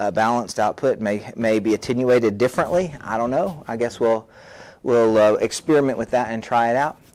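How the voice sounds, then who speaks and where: A man talks at a fairly quick pace. His voice is quiet. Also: medium pitch for a man, ordinary pitch variation. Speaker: literature teacher and video blogger. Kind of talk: tech tutorial, unboxing and mic test. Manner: talking quietly to test levels; halting, many fillers and restarts.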